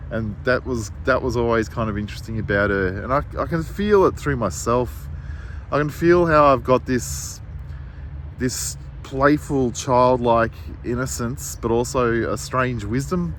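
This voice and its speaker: Over noticeable background noise, a man at medium pitch speaks at a fairly slow pace with very wide pitch swings. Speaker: writer and artist. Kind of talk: casual monologue. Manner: halting, searching for words.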